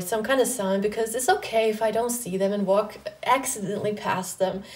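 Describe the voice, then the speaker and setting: Against noticeable background noise, a woman speaks fairly quickly with a fairly high pitch and fairly even intonation. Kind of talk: personal vlog monologue. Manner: flat, little pitch variation; casual, filler-heavy.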